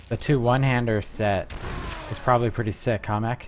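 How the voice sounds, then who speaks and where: Music runs in the background. A man speaks at a medium pitch with fairly even intonation. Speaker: video game streamer. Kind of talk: live gameplay commentary. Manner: casual, halting with fillers.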